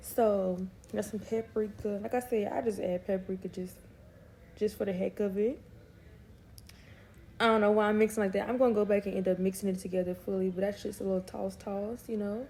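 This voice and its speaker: A woman speaks at a fairly quick pace with a medium pitch and a dark, mellow, somewhat breathy tone. Her intonation is monotone and flat, broken by long, frequent pauses. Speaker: family vlogger, mom. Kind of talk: cooking tutorial vlog. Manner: casual, chatty.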